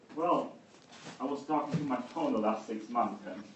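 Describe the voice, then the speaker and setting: A man talks at a moderate pace with a fairly high pitch and very wide pitch swings. Noticeable background noise and audible room echo surround him. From Germany. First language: German. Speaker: conference speaker. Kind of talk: keynote talk. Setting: stage with audience.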